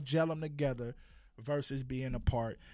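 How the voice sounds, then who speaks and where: Speaking with an American accent, a man keeps a moderate pace and fairly even intonation on a very clean recording with a silent background. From Compton, Los Angeles. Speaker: playwright and producer. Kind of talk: casual podcast interview.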